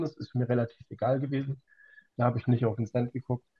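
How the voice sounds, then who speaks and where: With fairly even intonation, this voice sounds somewhat breathy. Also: man. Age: 40s. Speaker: trading card collector. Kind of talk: casual chat.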